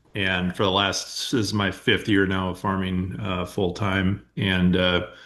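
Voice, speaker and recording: A man speaks with a Midwestern US accent and a very deep, low pitch. His pace is fairly slow and his intonation fairly even. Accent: US Midwest. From Iowa, Winnebago County. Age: 40s. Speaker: farmer. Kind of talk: interview. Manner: halting with fillers.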